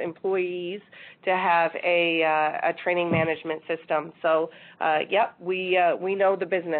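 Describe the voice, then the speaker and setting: A woman at medium pitch, fairly slow, with fairly even intonation. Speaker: webinar host. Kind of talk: webinar Q&A. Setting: conference call.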